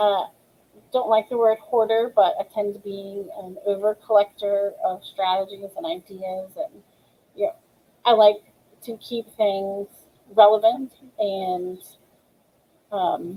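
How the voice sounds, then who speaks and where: Speaking at a very slow pace with long, frequent pauses, a woman uses a medium pitch with ordinary pitch variation and big swings in loudness. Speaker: ESL teacher. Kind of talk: webinar tutorial. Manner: many filler ums.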